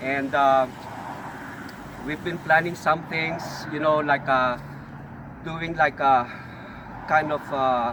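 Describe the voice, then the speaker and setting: A man with a Filipino accent, fairly high in pitch, monotone and flat, at a very slow pace with long, frequent pauses over noticeable background noise. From Philippines. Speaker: auto shop owner. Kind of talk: casual talk to camera. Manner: halting, many fillers.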